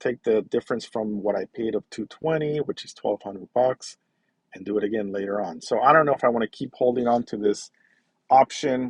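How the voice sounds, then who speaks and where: A man talks at a fairly quick pace in a normal speaking voice of medium pitch, with ordinary pitch variation, big swings in loudness and a dry, close sound with no echo. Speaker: personal finance youtuber. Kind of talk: casual screen-share walkthrough.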